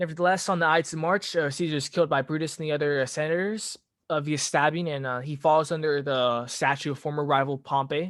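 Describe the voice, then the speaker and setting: A man talks at a very fast pace with a fairly high pitch and fairly even intonation. The recording is very clean, with a silent background. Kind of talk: casual history talk to camera. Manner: hesitant, many fillers.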